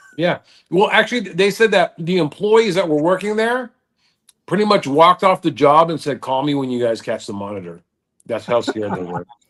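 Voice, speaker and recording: A man's high-pitched voice at a fairly quick pace, with very wide pitch swings over a quiet background. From Southern California. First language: Dutch. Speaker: reptile show promoter. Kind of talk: casual chat.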